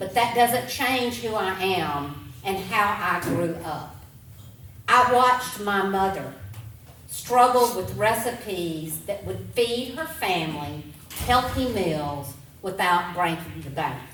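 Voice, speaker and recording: A woman speaks loudly and very slowly with an Alabama accent, her medium pitch swinging very widely. Audible room echo and noticeable background noise surround her. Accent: Southern US (Alabama). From US South, Alabama (Clarke and Bibb County). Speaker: political candidate. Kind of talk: campaign speech. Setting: town hall podium.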